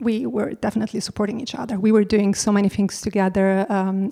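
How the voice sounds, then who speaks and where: On a very clean recording with a silent background, a woman with an Italian accent speaks at medium pitch in a dark, mellow tone with fairly even intonation. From Italy. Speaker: advertising creative director. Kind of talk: casual interview. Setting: home apartment.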